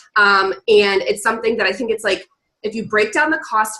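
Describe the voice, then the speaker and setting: Her pitch fairly high, a woman speaks with ordinary pitch variation. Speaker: network marketing coach. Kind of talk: team training call. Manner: fast.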